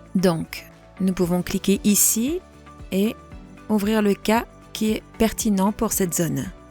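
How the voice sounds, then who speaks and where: Against music in the background, a woman speaks at a very slow pace in a medium pitch with ordinary pitch variation. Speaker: voice actor. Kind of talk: software demo explainer narration. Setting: home studio.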